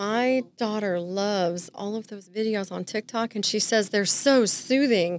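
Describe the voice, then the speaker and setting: Fairly slow, fairly even speech in an American accent, with hardly any pauses and a dry sound with no echo. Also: woman. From Southern California. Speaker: real estate agent; podcast guest. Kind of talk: casual interview chat. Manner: joking, playful. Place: studio. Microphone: studio mic.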